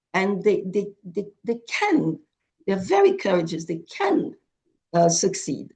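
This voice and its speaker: Very slowly, a woman speaks at a medium pitch in a dark, mellow, somewhat breathy tone with lively intonation. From Haiti. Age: 70s. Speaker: charity founder. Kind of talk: video call presentation. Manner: halting, many repetitions.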